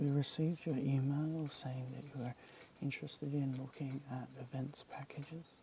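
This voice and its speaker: A soft-spoken whisper at a moderate pace. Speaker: ASMR artist. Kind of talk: ASMR roleplay, whispered booking agent call. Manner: whispered, soft-spoken.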